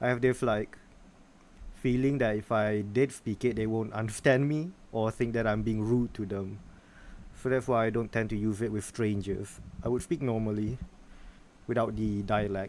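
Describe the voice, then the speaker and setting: A man at a moderate pace, fairly even in intonation, with long, frequent pauses. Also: medium pitch for a man. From Malaysia. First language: Malay. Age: 20s. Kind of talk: casual conversation.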